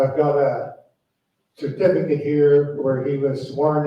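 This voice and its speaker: In a Western Canadian accent, a man speaks fairly slowly at a fairly high pitch, with audible room echo. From Canada, Alberta (Cochrane). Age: 70s. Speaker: lifelong local resident on history panel. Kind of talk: panel discussion.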